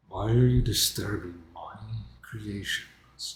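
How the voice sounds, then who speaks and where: Putting on a strained character voice, a man mumbles at a very slow pace with fairly low pitch. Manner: strained, mumbling as if mouth full.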